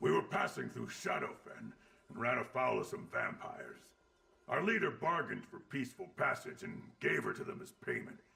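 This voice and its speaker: A put-on character voice from a man, high-pitched, at a moderate pace. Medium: video game. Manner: gruff, coarse.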